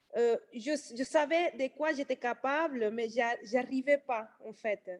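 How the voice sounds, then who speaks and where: A woman speaks with a non-native accent and a high pitch. Her pitch varies in an ordinary way. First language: not French (speaking French). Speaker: nail technician and trainer. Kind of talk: testimony. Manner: halting, many hesitations.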